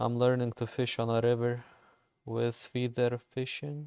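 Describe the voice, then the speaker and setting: In a Lithuanian accent, a man talks fairly slowly at medium pitch with a dark, mellow tone and monotone, flat intonation. The sound is dry and close, without echo. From Lithuania, village. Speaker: gaming streamer. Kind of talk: casual chat while gaming livestream.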